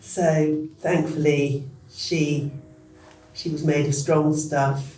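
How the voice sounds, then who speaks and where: Music plays behind a man with a southern English accent, and the room echo is audible. His fairly high voice stays monotone and flat. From England, East Sussex. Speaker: interviewee. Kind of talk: personal testimony.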